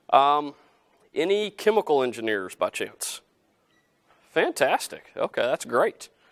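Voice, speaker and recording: A man speaks with a Southern US accent. The sound is dry and close with no echo, in a very clean recording with a silent background. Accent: southern drawl. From US South (Helena, Arkansas). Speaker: company CEO. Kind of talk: guest lecture. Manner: casual, many fillers.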